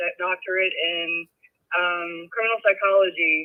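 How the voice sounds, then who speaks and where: The voice carries a Southern US accent, with ordinary pitch variation at a moderate pace. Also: woman. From US South. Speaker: caller. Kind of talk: call-in discussion. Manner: halting.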